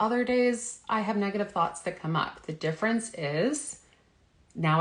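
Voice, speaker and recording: A woman speaks at a moderate pace in a somewhat breathy voice. Her pitch swings very widely. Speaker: health coach. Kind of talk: live stream talk. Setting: live video stream.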